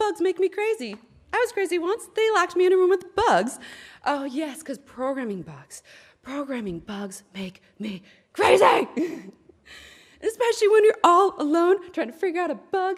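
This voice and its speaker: A woman with an extremely high pitch and very wide pitch swings speaks with long, frequent pauses and big swings in loudness. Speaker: programmer giving a conference talk. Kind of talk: lightning talk. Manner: fast; animated.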